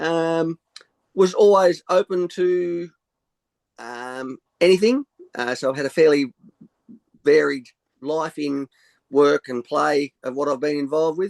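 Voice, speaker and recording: In a dry, close sound with no echo, a man speaks at a fairly high pitch and a fairly slow pace, with ordinary pitch variation and long, frequent pauses. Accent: Australian. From rural Australia. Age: 60s. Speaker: sound healer. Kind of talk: interview. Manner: halting.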